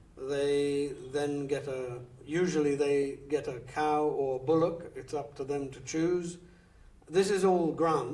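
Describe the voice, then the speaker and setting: A man speaks at a very slow pace in a fairly high voice. His loudness swings widely, and the room echo is audible. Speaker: aid worker. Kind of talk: interview. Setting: filmed interview. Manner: halting.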